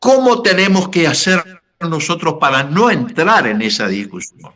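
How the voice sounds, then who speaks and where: His high voice swings very widely in pitch as the man speaks. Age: 80s. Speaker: pastor. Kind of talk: podcast panel discussion. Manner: halting, many repetitions and fillers.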